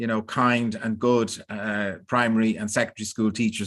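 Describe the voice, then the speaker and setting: Someone with an Irish accent speaks at a moderate pace with fairly even intonation against a quiet background. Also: man. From Ireland. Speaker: professor. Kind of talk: online lecture.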